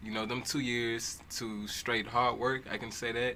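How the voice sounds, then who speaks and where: Someone speaks with an American accent against noticeable background noise. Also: man. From Houston, Texas. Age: 20s. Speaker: longshoreman and young entrepreneur. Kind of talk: talk show interview.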